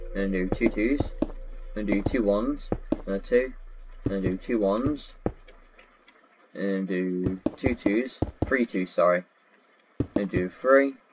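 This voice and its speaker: With long, frequent pauses and a fairly slow pace, a man speaks at a fairly low pitch with ordinary pitch variation against noticeable background noise. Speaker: Minecraft tutorial creator. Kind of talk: tutorial. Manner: counting aloud, repetitive.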